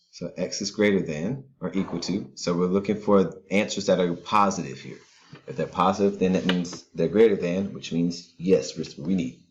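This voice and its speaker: A man speaks quietly at a moderate pace, his very deep, low voice carrying vocal fry and a calm tone. His pitch varies an ordinary amount. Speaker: math teacher. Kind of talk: tutorial. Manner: calm and quiet.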